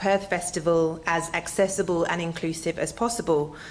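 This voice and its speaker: There is noticeable background noise. A woman speaks with an Australian accent. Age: 40s. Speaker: arts engagement manager. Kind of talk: public presentation.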